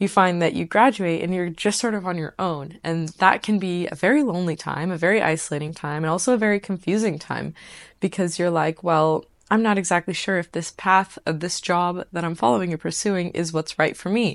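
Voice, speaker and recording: Over a quiet background, a woman with an American accent talks at a fairly quick pace and a fairly low pitch in a plain, everyday voice, with ordinary pitch variation. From United States. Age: 20s. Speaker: podcast host. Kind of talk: casual monologue.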